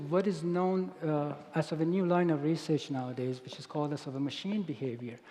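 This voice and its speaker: In a Persian accent, a man talks at a moderate pace. His intonation is lively. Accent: non-native English accent, Persian. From Iran. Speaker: robotics researcher. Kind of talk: conference keynote.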